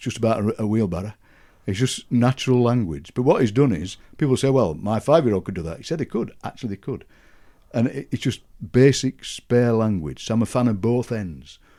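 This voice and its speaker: The voice carries a strong Yorkshire accent and a dark, mellow tone. Its pace is fairly quick. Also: man, medium pitch for a man. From Yorkshire, England. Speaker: poet and broadcaster. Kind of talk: interview answer. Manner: friendly, enthusiastic.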